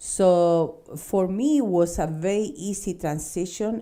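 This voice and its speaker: Very slow speech in a Spanish accent with a dark, mellow tone. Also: woman. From Chile, Santiago. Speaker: fencing instructor and school owner. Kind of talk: interview.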